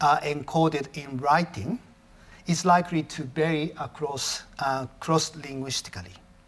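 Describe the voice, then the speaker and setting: A man speaks with a Japanese accent. His voice is fairly high, with ordinary pitch variation. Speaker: professor. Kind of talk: lecture. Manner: halting, with self-corrections.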